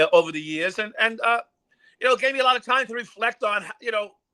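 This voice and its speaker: In a New York accent, a man speaks in a raised, projected voice with a bright, sharp tone, lively intonation and a fairly quick pace, in a dry, close sound with no echo. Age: 60s. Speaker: former police officer. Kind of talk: interview. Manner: halting.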